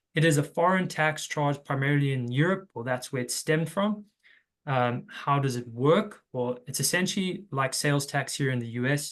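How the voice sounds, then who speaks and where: This man has a fairly high pitch and a South African accent. He talks at a moderate pace with ordinary pitch variation. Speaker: tax recovery consultant. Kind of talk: webinar presentation.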